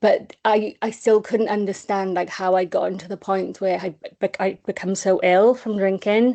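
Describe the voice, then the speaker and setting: A woman with a Welsh accent, medium pitch, and a dark, mellow tone, at a moderate pace with hardly any pauses and fairly even intonation. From Wales, small village. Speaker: charity comms officer, person in recovery. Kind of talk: recovery testimony on a webinar. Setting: online webinar. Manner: hesitant, many fillers.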